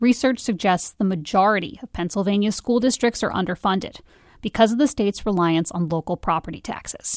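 A woman's normal speaking voice at medium pitch, fairly quick in pace with ordinary pitch variation, on a very clean recording with a silent background and a dry, close sound with no echo. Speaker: podcast host and narrator. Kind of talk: scripted narration.

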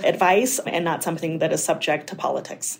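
Talking fairly quickly in a fairly low voice, a woman is heard through noticeable background noise. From Colorado, Mexican immigrant family. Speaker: physician and state legislator running for Congress. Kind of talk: interview.

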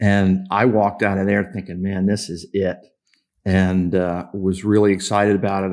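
In a very clean recording with a silent background, a man with an American accent speaks at a moderate pace in a fairly low pitch with monotone, flat intonation. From Kansas. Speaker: sports executive and Navy veteran. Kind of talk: interview.

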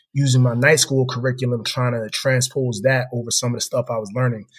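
With an American accent, a man talks fairly quickly in a somewhat breathy, medium-pitched voice and a flat monotone. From US Northeast (Philadelphia, New Jersey). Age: 30s. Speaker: corporate professional. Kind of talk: interview.

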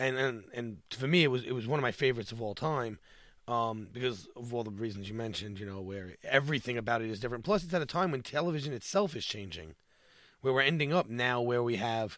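A man with an ordinary speaking voice, medium pitch, ordinary pitch variation, and a fairly quick pace, in a very clean recording with a silent background. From New York. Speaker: podcast producer and fan. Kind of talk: casual chat.

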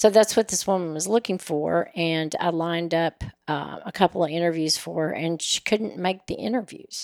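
A woman with a plain, everyday voice speaks at a fairly low pitch and a moderate pace with fairly even intonation. The sound is dry and close with no echo. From Oklahoma, raised in Nashville, Tennessee. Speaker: personal concierge business owner. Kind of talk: casual interview.

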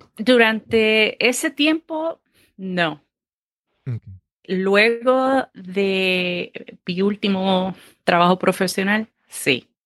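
Dry and close with no echo, a woman speaks at a very slow pace in a medium pitch, her intonation lively and her pauses long and frequent. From Puerto Rico. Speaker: former corporate project manager, entrepreneur. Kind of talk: interview.

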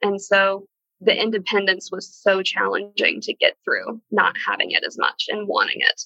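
Speaking at a moderate pace, a woman is heard. The sound is dry and close with no echo. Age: 20s. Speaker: cancer survivor, student. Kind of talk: testimony.

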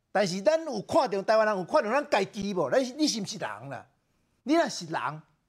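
Speech at a fairly quick pace comes through in a very clean recording with a silent background. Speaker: political commentator. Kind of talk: talk show debate. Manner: animated.

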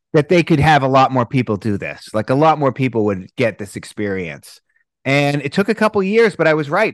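With a Boston accent, a man swings very widely in pitch, recorded with a dry, close sound and no echo over a quiet background. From US Northeast, Boston. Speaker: breathwork instructor. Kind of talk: casual interview chat.

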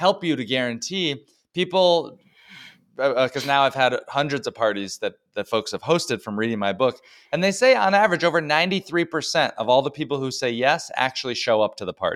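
Very wide pitch swings mark a man's fairly high voice with an American accent. He speaks at a fairly quick pace in a very clean recording with a silent background. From US South, Dallas suburbs and North Georgia. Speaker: entrepreneur and author. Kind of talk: interview.

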